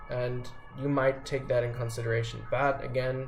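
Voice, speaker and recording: Over music in the background and audible room echo, a man speaks with a non-native accent. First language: not English. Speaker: vlogger sharing personal experience. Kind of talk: casual explanatory monologue. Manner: halting, many fillers and restarts. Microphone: poorly recorded.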